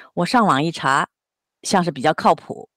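A woman speaks at a fairly quick pace in a very deep, low pitch. The recording is very clean with a silent background, and the sound is dry and close with no echo. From Jiangsu, China. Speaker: office worker nearing retirement, volunteer. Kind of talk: casual chat.

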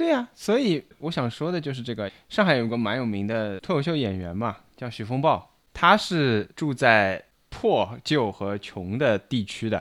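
A normal speaking voice from a man, medium in pitch, comes at a fairly slow pace on a very clean recording with a silent background. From China, Shanghai. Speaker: podcast host. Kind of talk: casual chat.

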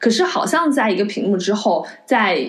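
With noticeable background noise behind her, a woman talks with lively intonation. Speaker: podcast host. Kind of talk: casual film-discussion podcast chat. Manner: earnest, reflective.

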